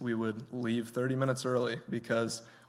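A man's flat, monotone delivery with an American accent. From Michigan. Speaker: guest preacher. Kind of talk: sermon.

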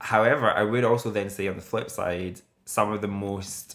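At a moderate pace, a man speaks at a fairly low pitch with ordinary pitch variation. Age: 30s. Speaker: podcast host. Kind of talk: casual chat. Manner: animated.

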